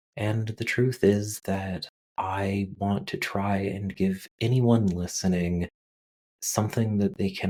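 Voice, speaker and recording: A soft-spoken man with a fairly low pitch talks at a very slow pace in a dark, mellow, calm tone. The recording is very clean, with a silent background. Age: 30s or older. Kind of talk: calm informal monologue. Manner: slow, calm pace.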